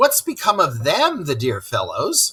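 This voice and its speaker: A man performs in a put-on character voice. He keeps a moderate pace. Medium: read story. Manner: excitable, theatrical.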